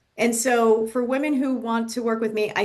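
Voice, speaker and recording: Here is a woman with an ordinary speaking voice. She talks at a moderate pace and fairly high pitch. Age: 60s. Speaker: business coach. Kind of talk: podcast interview.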